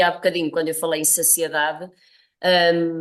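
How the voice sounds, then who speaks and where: Her pitch is fairly low for a woman. She talks at a fairly quick pace. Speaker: nutrition professor. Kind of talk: interview.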